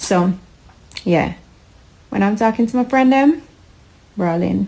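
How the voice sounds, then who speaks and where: Speaking at a fairly slow pace, a woman with a Jamaican accent uses a fairly high pitch and lively intonation. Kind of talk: casual talk to camera.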